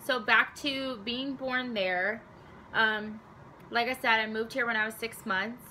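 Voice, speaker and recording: Delivered at a fairly slow pace, the speech has fairly even intonation and a Southwest US accent. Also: woman, fairly high pitch for a woman. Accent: US Southwest American English. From Arizona, US. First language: Spanish. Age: 20s. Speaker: vlogger. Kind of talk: casual talk to camera.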